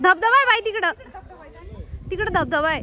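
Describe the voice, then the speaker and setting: Against crowd noise in the background, a woman uses a raised, projected voice at an extremely high pitch with lively intonation. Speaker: vlogger. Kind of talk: casual vlog chat. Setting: outdoors and in a rickshaw.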